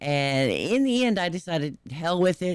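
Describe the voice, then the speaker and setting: In a very clean recording with a silent background, a woman speaks with a fairly low pitch. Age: 50s. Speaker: YouTube music reaction host. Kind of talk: casual chat. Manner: casual, hesitant with fillers.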